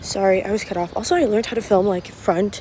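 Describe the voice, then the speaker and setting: Talking at a very fast pace in an animated tone, a woman with a medium pitch is heard over noticeable background noise. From Morocco. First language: French. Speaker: travel vlogger. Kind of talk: casual vlog. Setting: outdoors.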